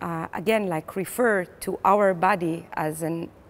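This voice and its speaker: A woman speaks with an Israeli accent. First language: Hebrew. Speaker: playwright and theater director. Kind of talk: interview. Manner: hesitant, many fillers.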